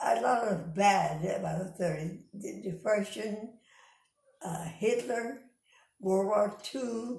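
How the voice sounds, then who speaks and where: A woman with an American accent at a medium pitch, very slow pace and ordinary pitch variation. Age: 80s+. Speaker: interviewee recalling her life. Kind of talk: oral history interview.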